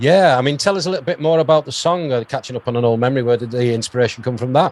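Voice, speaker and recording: In a British accent, a man at medium pitch talks at a very fast pace, the sound dry and close with no echo. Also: ordinary pitch variation. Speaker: radio host. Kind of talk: interview.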